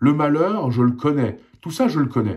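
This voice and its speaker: A man talks at a fairly slow pace. His tone is dark and mellow, and somewhat breathy. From Alsace, eastern France (born in Poland, arrived as a child). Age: 40s. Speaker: independent journalist. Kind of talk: personal opinion monologue. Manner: impassioned, repetitive emphasis.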